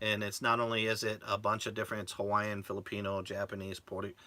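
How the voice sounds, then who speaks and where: Against noticeable background noise, a man talks in a fairly low voice. His intonation is monotone and flat. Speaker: RV vlogger. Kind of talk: casual live-stream chat.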